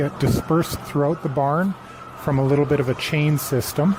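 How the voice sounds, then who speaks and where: Against noticeable background noise, a man talks at a moderate pace in a fairly high voice with fairly even intonation. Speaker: farmer. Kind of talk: virtual tour. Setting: barn. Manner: whispering.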